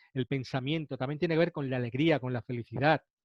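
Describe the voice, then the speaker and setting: A man with a fairly high pitch. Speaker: naturopath and nutritionist lecturer. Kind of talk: webinar lecture. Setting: online webinar. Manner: fast.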